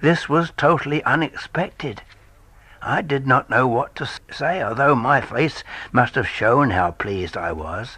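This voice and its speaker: A man's bright, sharp voice at a medium pitch, with vocal fry and very wide pitch swings, at a fairly slow pace over a quiet background. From London. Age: 80s+. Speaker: storyteller. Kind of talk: reading aloud.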